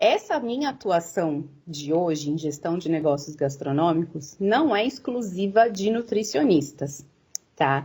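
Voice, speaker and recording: A woman's fairly low, somewhat breathy voice at a fairly slow pace, with very wide pitch swings. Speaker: nutritionist and business consultant. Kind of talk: lecture. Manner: halting, many fillers.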